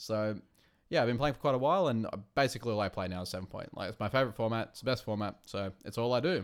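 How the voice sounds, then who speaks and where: A man with an Australian accent at a very fast pace, medium pitch, ordinary pitch variation and big swings in loudness, on a very clean recording with a silent background. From Australia, Wollongong. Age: 30s. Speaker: card game committee member. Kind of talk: casual chat.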